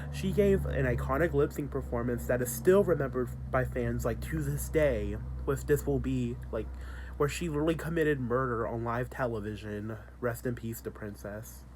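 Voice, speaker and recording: Room echo is audible as a male speaker talks at a moderate pace. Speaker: video creator. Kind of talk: casual commentary vlog. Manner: casual, filler-heavy.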